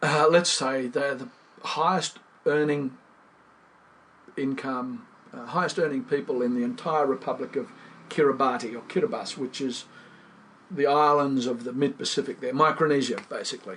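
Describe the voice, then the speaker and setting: A man speaks with an Australian accent and ordinary pitch variation. His pace is moderate, broken by long, frequent pauses. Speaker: fly fisherman and writer. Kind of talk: interview answer. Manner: emphatic, indignant.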